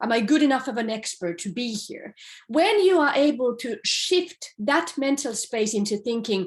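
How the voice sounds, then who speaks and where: A woman's high-pitched voice at a fairly slow pace, with lively intonation. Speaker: professor. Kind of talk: recorded lecture. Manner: speaking from notes, unscripted.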